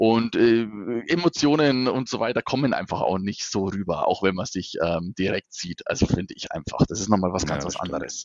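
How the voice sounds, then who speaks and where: He has a normal speaking voice, fairly low in pitch. The man talks at a moderate pace with lively intonation. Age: 30s. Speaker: regional sales manager. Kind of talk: casual interview.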